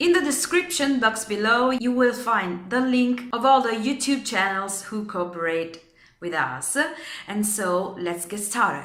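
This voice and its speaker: With an Italian accent, a woman speaks at a fairly slow pace with a fairly high pitch and lively intonation, amid noticeable background noise and audible room echo. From Italy. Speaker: DIY and home decor vlogger. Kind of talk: tutorial. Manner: halting.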